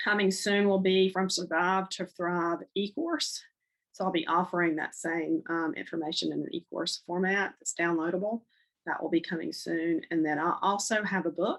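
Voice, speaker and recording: Over a quiet background, the speaker talks with a North Carolina accent and ordinary pitch variation. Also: woman, medium pitch for a woman, moderate pace. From North Carolina (Charlotte). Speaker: divorce counselor and podcast host. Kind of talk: podcast monologue, promoting services. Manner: hesitant, many fillers.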